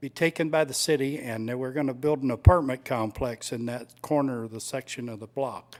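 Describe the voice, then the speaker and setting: A man with a normal speaking voice goes fairly quickly at a medium pitch, with hardly any pauses. His intonation is fairly even, while his loudness swings widely. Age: 60s. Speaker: resident speaking at public comment. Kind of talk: public comment at a city meeting. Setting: city commission meeting.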